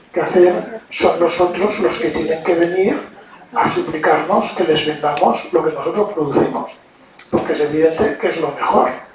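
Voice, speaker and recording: Through noticeable background noise and audible room echo, a man speaks in a high pitch. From Spain. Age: 60s. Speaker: diplomat. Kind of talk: lecture. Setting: university auditorium with audience. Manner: hesitant fillers.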